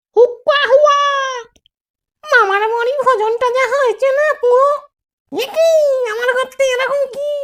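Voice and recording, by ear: In a cartoonish character voice, the speaker talks at a fairly slow pace with an extremely high pitch.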